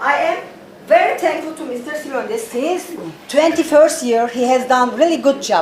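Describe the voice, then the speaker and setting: A woman talks at a moderate pace in a high pitch with ordinary variation. The recording has audible room echo and noticeable background noise. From Turkey. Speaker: veterans athletics official. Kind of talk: heated debate. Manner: halting.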